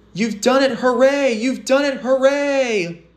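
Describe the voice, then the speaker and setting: The tone is animated, and noticeable background noise can be heard behind it. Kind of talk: scripted narration with character voices (fan redub). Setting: home-recorded voice lines for a fan redub project. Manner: animated storyteller, shifting voices for each character.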